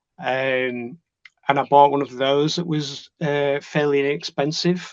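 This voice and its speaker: Speaking in a Yorkshire accent, a man talks at a fairly slow pace and fairly high pitch with fairly even intonation. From northern England, Leeds. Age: 40s. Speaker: trading student. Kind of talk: interview. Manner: halting, many fillers and repeats.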